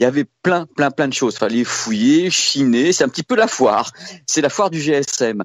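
A fairly high-pitched man at a moderate pace with lively intonation. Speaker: tech journalist. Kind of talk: casual chat. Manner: animated.

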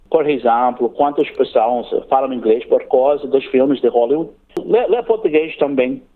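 Male speech at a fairly slow pace, with an English accent. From Australia, Cairns, Queensland. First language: English (speaking Portuguese). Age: 40s. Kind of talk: interview. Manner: halting.

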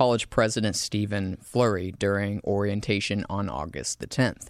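A man speaks with a Southern US accent at a moderate pace. The recording is very clean, with a silent background. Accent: Southern US, charming. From US South, South Carolina. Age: 20s. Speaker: student narrator and show producer. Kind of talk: scripted narration.

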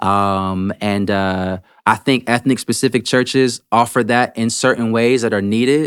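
A man with an American accent speaks at medium pitch and a fairly slow pace, in a normal speaking voice. The very clean recording has a silent background and a dry, close sound with no echo. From Washington DC area, US. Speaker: pastor. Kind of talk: casual interview.

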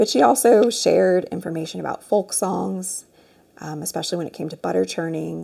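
A woman speaking at a moderate pace. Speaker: author and oral historian. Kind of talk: interview.

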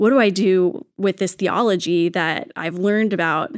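A plain, everyday voice from a woman, medium in pitch with ordinary variation, in a very clean recording with a silent background. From Texas. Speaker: children's ministry coordinator. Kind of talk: casual chat.

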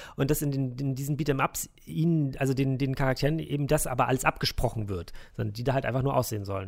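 A very fast-paced man's voice at medium pitch. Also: ordinary pitch variation, very clean recording, silent background. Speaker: games journalist. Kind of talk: interview; casual chat.

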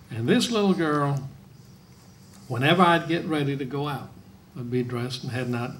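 A man talks with a somewhat breathy voice pitched fairly high. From Norway. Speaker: guest's husband. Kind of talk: interview with live audience. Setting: stage with audience.

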